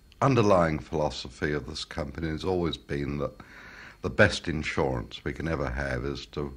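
A man with a British accent talks at a moderate pace with ordinary pitch variation. His pitch is very deep and low. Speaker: loudspeaker company founder. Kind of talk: interview answer. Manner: soft-spoken, humble.

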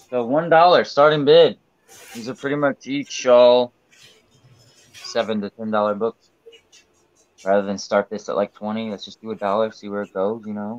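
A man speaks at a moderate pace with ordinary pitch variation, big swings in loudness and long, frequent pauses, in a dry sound with no echo. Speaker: comic auction seller. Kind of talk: live auction stream. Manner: casual, hedging. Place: home room. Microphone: webcam.

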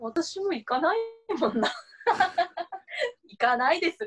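Her pitch is extremely high, with very wide swings and big changes in loudness. The woman keeps a fairly slow pace. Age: 30s. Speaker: voice actor. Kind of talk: casual variety show talk.

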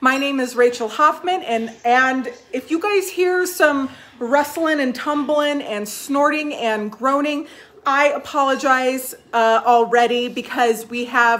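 Very slowly, a woman speaks in a high pitch with ordinary pitch variation. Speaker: magazine host. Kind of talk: casual live stream chat. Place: home room. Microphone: phone near.

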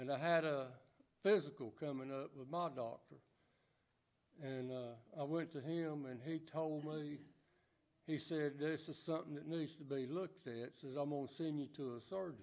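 A man with a Southern US accent speaks at a moderate pace. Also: fairly even intonation. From US South. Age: 80s+. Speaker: church member. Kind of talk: testimony. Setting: church. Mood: earnest, reflective. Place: church.

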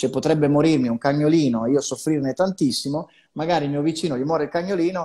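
A man's dark, mellow voice at a very fast pace, with ordinary pitch variation over a quiet background. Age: 50s. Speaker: psychologist; guest. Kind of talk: live video chat interview. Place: home room. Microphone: earbuds.

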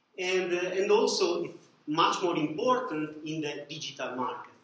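A man's fairly even intonation carries through audible room echo. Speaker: presenter. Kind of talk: lecture. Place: classroom. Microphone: camera far.

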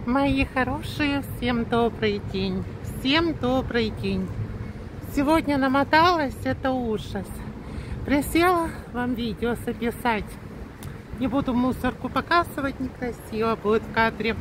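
A woman with a high pitch speaks at a very slow pace, leaving long, frequent pauses, her pitch varying in an ordinary way, in a dry recording with no echo but noticeable background noise. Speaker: vlogger. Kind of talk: casual vlog chat. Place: street. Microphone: phone near.

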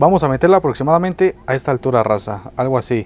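A man talks at a very fast pace with ordinary pitch variation, his voice dry with no echo over light background noise. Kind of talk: tutorial. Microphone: phone near.

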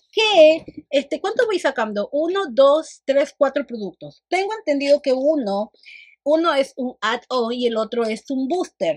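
Against a quiet background, a woman with a high pitch speaks at a fairly slow pace, with lively intonation and an animated tone. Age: 40s. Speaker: beauty vlogger. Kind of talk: makeup tutorial and product review. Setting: home studio. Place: home room.

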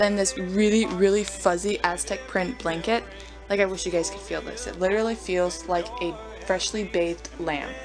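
A woman speaks at a moderate pace with music in the background. Room echo can be heard. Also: big swings in loudness. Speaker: model horse collector vlogger. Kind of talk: casual chat. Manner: animated.

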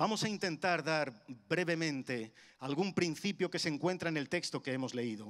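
A man with a fairly high voice talks fairly quickly, and the background stays quiet. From Spain, Madrid (Carabanchel); Madrid, Spain. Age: 50s. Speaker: preacher. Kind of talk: sermon. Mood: warm, humorous, engaging. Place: church. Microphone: handheld.

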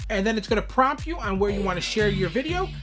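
A man's voice over clear music in the background. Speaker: YouTuber reviewing an app. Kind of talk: tutorial. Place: home room.

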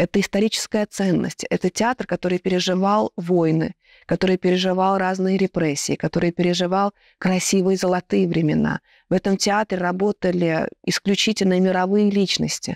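A woman speaks with monotone, flat intonation and very even loudness at a moderate pace. The sound is dry with no echo, and the background is quiet. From Latvia. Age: 30s. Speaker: theatre director and actress; actress. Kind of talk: panel discussion. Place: stage. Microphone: lapel.

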